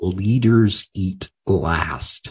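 Against a quiet backdrop, a man talks with a somewhat breathy quality. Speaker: podcast host. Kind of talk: interview.

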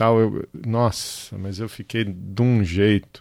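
A man's plain, everyday voice, medium in pitch with fairly even intonation, comes through on a very clean recording with a silent background. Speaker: podcast host. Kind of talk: casual chat.

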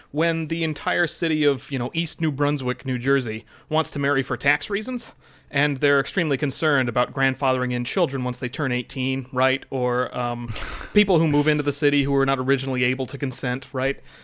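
In a plain, everyday voice, a man talks at a fairly quick pace with fairly even intonation and a fairly high pitch. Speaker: podcast co-host. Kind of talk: casual chat with banter. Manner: jokey, rambling.

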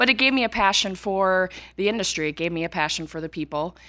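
A woman talks at a fairly quick pace in a bright, sharp tone. The recording is very clean, with a silent background. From rural Minnesota, US. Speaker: accountant specializing in manufacturing. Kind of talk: interview.

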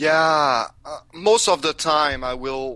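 A man's bright, sharp voice in a Quebec accent at a very slow pace. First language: French. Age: 30s. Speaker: music podcaster and industrial worker. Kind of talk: interview. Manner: halting.

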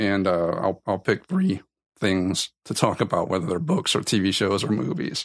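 Lively intonation at a moderate pace in an American accent, on a very clean recording with a silent background. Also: man. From South Louisiana. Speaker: podcast host. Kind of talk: solo podcast monologue.

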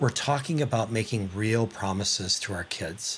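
A man with a normal speaking voice talks at a fairly slow pace, with medium pitch and ordinary pitch variation. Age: 60s. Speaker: podcast host. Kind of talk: interview, scripted intro.

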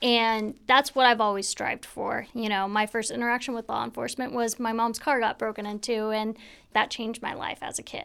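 A woman talks at a fairly quick pace in a plain, everyday voice, fairly high in pitch, with an American accent. Her intonation stays fairly even, and the recording is very clean with a silent background. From US Pacific Northwest, Spanaway, Washington. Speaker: sheriff's deputy, school resource officer. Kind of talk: interview. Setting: studio.

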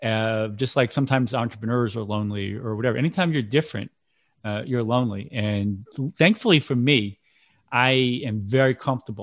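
In a normal speaking voice with an American accent, a man talks at a fairly quick pace, medium pitch and ordinary pitch variation. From central Massachusetts, Worcester. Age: 40s. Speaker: parenting coach and author. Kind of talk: interview.

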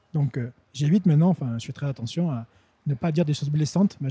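Very fast and somewhat breathy, a man with a fairly high pitch and a dark, mellow tone speaks with ordinary pitch variation in a dry, close sound with no echo. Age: 40s. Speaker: French teacher and translator. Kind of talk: casual interview. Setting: indoors, in person.

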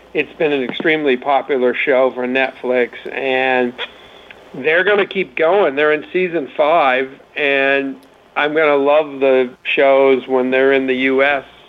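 Against noticeable background noise, a man speaks fairly slowly at a fairly high pitch with fairly even intonation. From Maine. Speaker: entertainment car expert. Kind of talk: casual chat.

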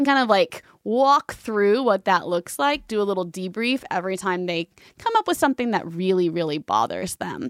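In a very clean recording with a silent background and dry, close sound with no echo, a woman speaks with an American accent in an ordinary speaking voice. She has a medium pitch, a moderate pace and lively intonation. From Texas, Fort Worth. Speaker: mom blogger. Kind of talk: casual interview.

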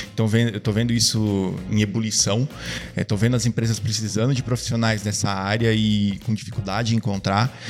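A man's fairly low, monotone, flat voice at a fairly quick pace and very even loudness, with noticeable background noise. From Brazil, Ribeirão Preto, São Paulo state. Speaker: product designer. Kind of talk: casual interview. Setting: studio.

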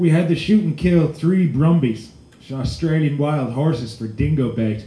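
A man with a Canadian accent speaks in a dark, mellow, somewhat breathy tone at a fairly high pitch with ordinary pitch variation, with audible room echo around him. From Alberta, Canada. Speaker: storyteller. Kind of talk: storytelling performance.

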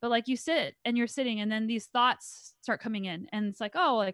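On a very clean, dry, close recording with a silent background and no echo, a woman in a normal speaking voice talks fairly quickly at a fairly high pitch with ordinary pitch variation. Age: 30s. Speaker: pro mountain biker and mindset coach. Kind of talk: interview conversation.

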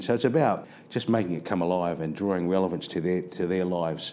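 This man's pitch is very deep and low, with a dark, mellow tone. He talks at a moderate pace. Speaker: school principal. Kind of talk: interview. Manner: halting, with frequent repetitions.

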